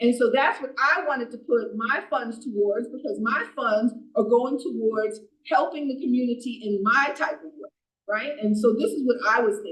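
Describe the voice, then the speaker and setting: A woman's high-pitched voice at a moderate pace, with ordinary pitch variation, big swings in loudness and audible room echo. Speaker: borough council member. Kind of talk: council meeting debate.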